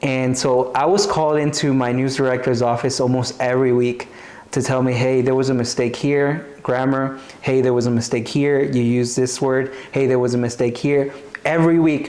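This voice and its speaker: A man speaks at a medium pitch and a moderate pace, his intonation flat and monotone with very even loudness. Room echo is audible, and background noise is noticeable. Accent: American. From US South, Arkansas. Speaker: TV host. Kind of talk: interview conversation. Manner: casual, with many fillers and repetitions.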